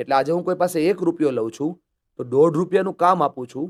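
In a very clean recording with a silent background and a dry, close sound with no echo, a man with an ordinary speaking voice talks at a fairly high pitch with ordinary pitch variation. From Gujarat, Saurashtra (Amreli) then Surat. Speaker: motivational speaker. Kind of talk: interview.

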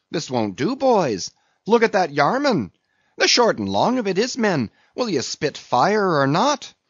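A man's put-on character voice, high in pitch with very wide pitch swings and a slightly husky edge, at a fairly slow pace, with a dry, close sound and no echo.

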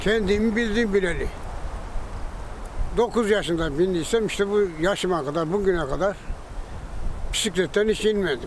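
A man with a high voice speaks at a moderate pace, with ordinary pitch variation. The sound is dry with no echo, and there's light background noise. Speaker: retired cyclist who cleans streets and feeds strays. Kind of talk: news interview answer. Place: street.

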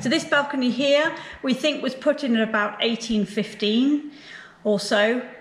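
A woman speaks with ordinary pitch variation. Audible room echo and light background noise accompany her. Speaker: house custodian tour guide. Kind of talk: guided tour explanation. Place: hall.

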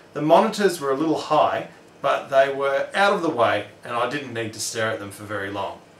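Speech at a fairly quick pace carries audible room echo and light background noise. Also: man. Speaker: tech channel host. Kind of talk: instructional DIY tutorial. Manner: scripted read.

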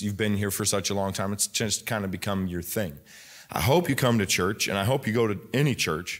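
A man talks fairly quickly in a normal speaking voice. His pitch varies in an ordinary way against a quiet background. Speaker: pastor. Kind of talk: sermon. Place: church. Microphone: podium.

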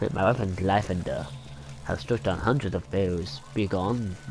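A man puts on a character voice with a very deep, low pitch, sounding strained at a moderate pace. Clear background noise can be heard. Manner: pompous, exaggerated.

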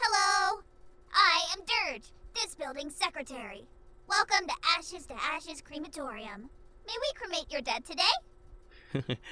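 Extremely high in pitch, this put-on character voice moves at a moderate pace. Long, frequent pauses break it up. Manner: cheerful, formal, rule-bound.

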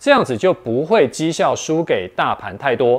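Very wide pitch swings from a man at a fairly slow pace. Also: quiet background. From Taiwan. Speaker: investment video host. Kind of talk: scripted explainer. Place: studio. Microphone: lapel.

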